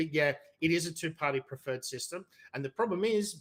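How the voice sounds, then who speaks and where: At a moderate pace, a man with an Australian accent speaks with lively intonation. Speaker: debater. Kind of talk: debate.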